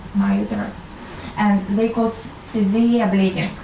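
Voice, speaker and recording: Speaking at a fairly slow pace with a Russian accent, a woman uses a medium pitch over noticeable background noise. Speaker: medical doctor and intuitive healer. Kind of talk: talk to an audience. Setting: live audience. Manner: hesitant, many fillers.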